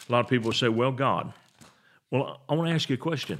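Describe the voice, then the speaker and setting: A man's medium-pitched voice rises and falls with lively intonation. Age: 60s. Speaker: pastor. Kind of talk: sermon.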